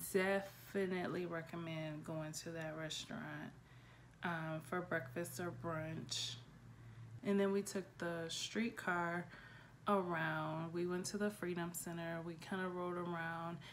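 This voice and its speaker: A woman speaks at a fairly slow pace in a fairly low pitch, with fairly even intonation. It is a normal speaking voice over light background noise. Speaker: travel vlogger. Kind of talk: casual vlog chat. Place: home room. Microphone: phone near.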